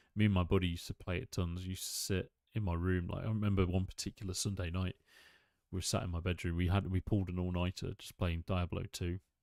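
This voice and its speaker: A man with a British accent speaks very fast in a very deep, low voice with monotone, flat intonation, recorded very cleanly against a silent background with a dry, close sound and no echo. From UK. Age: 30s. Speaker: gaming streamer. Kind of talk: casual gaming stream commentary. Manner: casual, hesitant with fillers.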